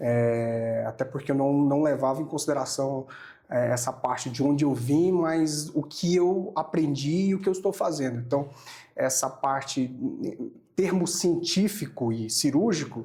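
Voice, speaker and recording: A man speaks fairly slowly in a somewhat breathy, dark and mellow tone, fairly high in pitch, with ordinary pitch variation. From Brazil, Amazonas state. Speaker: oral and maxillofacial surgeon. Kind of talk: podcast interview. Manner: hesitant, with many fillers and repetitions.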